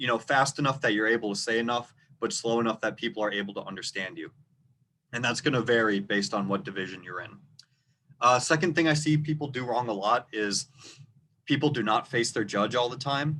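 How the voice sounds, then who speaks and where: Bright and sharp in tone, a man with a slight Minnesota accent speaks fairly quickly at a medium pitch with ordinary pitch variation. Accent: rural Minnesota, slight. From rural Minnesota. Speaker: debate coach. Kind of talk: tutorial. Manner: louder than normal; clear, moderate pace.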